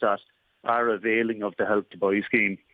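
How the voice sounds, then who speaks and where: A man with an Irish accent and fairly even intonation. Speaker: auctioneer / estate agent (business owner). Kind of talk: radio business interview answer.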